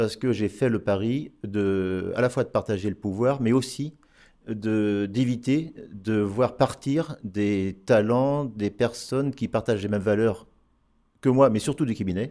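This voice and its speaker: On a very clean recording with a silent background, a man with a dark, mellow tone and medium pitch speaks very slowly, with ordinary pitch variation. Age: 60s. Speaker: accountant, firm founder. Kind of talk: interview. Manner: hesitant.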